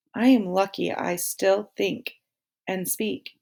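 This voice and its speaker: Putting on a character voice, a woman speaks raspy and medium-pitched at a fairly slow pace. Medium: read story. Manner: calm.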